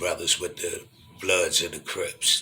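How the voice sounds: Audible room echo surrounds a man speaking slowly. His tone is bright and sharp.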